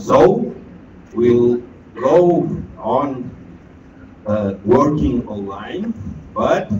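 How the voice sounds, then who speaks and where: Medium pitch from a man, with audible room echo. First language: Catalan. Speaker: education network leader. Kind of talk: ceremony speech.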